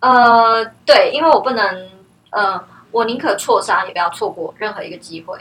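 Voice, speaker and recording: A woman speaks at a moderate pace, her loudness swinging widely. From Taiwan. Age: 30s. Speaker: herbal tea brand founder. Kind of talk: interview.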